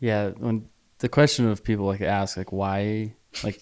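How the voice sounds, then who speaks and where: A plain, everyday voice from a man with an American accent, fairly low-pitched, at a moderate pace, on a very clean recording with a silent background. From small-town Idaho. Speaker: podcast host. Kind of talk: casual chat.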